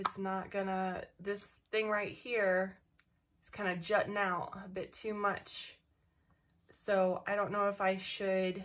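Over light background noise, a woman speaks at a very slow pace in a monotone, flat intonation, with long, frequent pauses. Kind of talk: casual vlog chat. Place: home room. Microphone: webcam.

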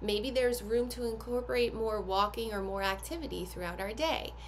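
Over light background noise, a woman talks at a fairly quick pace. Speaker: activity box host. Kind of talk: product unboxing tutorial. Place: home room. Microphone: phone near.

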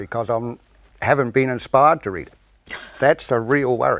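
A New Zealand accent at a moderate pace, dry sound with no echo and a quiet background. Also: man. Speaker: dairy farmer and cooperative shareholder council member. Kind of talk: TV panel discussion. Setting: TV studio. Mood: jovial, wry. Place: studio. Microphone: lapel.

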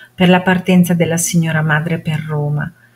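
The woman's voice is fairly low in pitch and somewhat breathy. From Modena, Italy. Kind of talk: dramatic reading of a historical letter.

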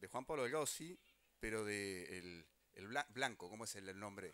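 The pitch swings very widely. The tone is bright and sharp. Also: man. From Uruguay. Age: 50s. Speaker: government minister. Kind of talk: public speech. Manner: halting, repeats words. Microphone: handheld.

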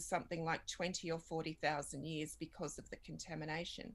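A woman speaks with an Australian accent. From Australia, Redfern in Sydney; Sydney, Australia. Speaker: documentary filmmaker. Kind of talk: interview. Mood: earnest, reflective. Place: home room. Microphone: webcam.

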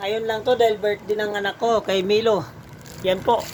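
Noticeable background noise beneath a fairly high-pitched female voice. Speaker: live online seller and cup maker. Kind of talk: street-seller style sales pitch, live-selling promo with a rapid hard sell. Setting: live stream to viewers online. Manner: hyped, boastful, chatty with viewers.

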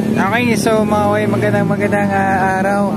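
Dry, echo-free sound over loud background noise. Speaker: vlogger. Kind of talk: casual vlog commentary. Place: waterside. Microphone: phone near.

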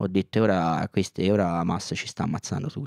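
Fairly quick, animated speech from a man, dry with no echo against a quiet background. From Israel. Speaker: activist; podcast guest. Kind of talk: casual chat. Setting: studio. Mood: earnest, heated. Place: studio. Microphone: handheld.

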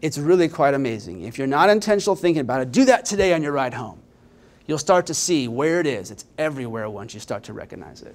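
Speaking very fast with an American accent, a man with a fairly high pitch shows very wide pitch swings and big swings in loudness. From Indiana, Richmond; Indiana. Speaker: nonprofit data executive; presenter. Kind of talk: conference presentation. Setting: stage with audience. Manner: energetic. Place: hall. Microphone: handheld.

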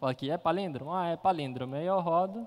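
Pitch varying in an ordinary way, a man speaks very fast. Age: 20s. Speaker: software engineer; conference speaker. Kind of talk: conference talk. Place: hall.

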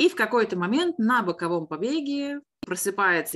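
At a fairly slow pace, the pitch swings very widely. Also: woman. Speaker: botany teacher. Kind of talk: online lesson. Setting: video call. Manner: animated.

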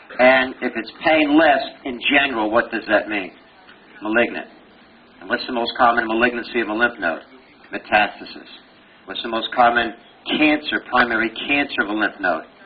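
Against noticeable background noise, a man with an American accent speaks with ordinary pitch variation, big swings in loudness, and long, frequent pauses. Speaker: pathology professor giving board review lecture. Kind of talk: lecture. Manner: animated, conversational.

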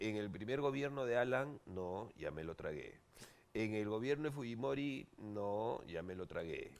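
A man with lively intonation at a fairly slow pace. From Peru. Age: 40s. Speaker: TV host and comedian; TV host, comedian. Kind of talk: talk show interview. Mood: playful, joking. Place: studio. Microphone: headset.

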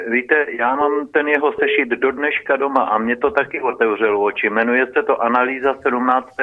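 A man with an ordinary speaking voice talks at a fairly quick pace and medium pitch, with fairly even intonation and hardly any pauses. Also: very even loudness. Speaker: caller. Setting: phone call.

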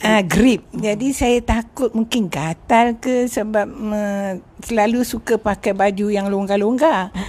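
A woman's fairly high voice, ordinary pitch variation, very slow pace. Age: 70s. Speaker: retired schoolteacher. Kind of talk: interview answer.

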